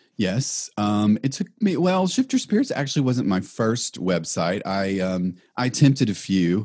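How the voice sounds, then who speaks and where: A man's fairly low-pitched, unremarkable speaking voice with an American accent, fairly slow with hardly any pauses, lively intonation, and a very clean recording over a silent background. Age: 40s. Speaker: blogger and professional intuitive. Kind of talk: interview.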